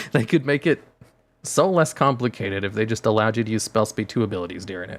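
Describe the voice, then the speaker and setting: With music in the background, a man talks at a fairly quick pace, his pitch fairly low and his intonation lively. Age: 20s. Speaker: card game streamer. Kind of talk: casual livestream chat explaining rules.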